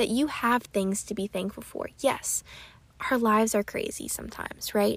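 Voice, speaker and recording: On a very clean recording with a silent background, a woman with an American accent talks at a moderate pace. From Pennsylvania. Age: 20s. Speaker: podcast host. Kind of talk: casual solo podcast chat; recipe tutorial. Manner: animated.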